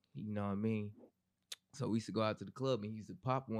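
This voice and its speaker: The speaker is a man. The background is quiet. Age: 30s. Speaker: podcast co-host. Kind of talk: casual chat.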